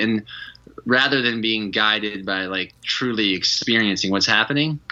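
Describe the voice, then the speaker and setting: Fairly quick speech with a slight Southern US accent. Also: man. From Georgia, US South. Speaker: retreat leader. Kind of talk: podcast interview. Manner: animated.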